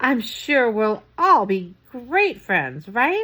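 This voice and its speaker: In a put-on character voice, a woman speaks at a very slow pace. Her high pitch moves through very wide pitch swings. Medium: read story. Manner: nervous, falsely cheerful.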